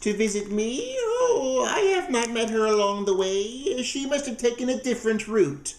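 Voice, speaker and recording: A man puts on a character voice at an extremely high pitch, talking at a moderate pace with hardly any pauses. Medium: read story. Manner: wheedling, falsely sweet.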